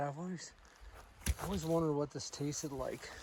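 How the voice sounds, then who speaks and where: A man talking at a moderate pace over noticeable background noise. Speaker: hiker vlogger. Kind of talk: casual vlog narration. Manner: soft-spoken, talking low.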